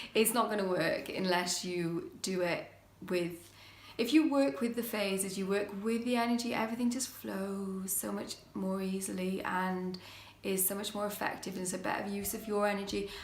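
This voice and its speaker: In a British accent, a woman talks at a moderate pace and a medium pitch with ordinary pitch variation, and audible room echo surrounds her voice. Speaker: witchcraft YouTuber. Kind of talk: casual vlog talk. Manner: hesitant, many fillers.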